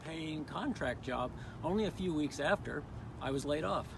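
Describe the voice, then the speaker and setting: Audible room echo surrounds a man speaking at a fairly high pitch with ordinary pitch variation and vocal fry. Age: 60s. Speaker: constituent sharing personal story. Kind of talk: prepared statement at press conference. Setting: press conference.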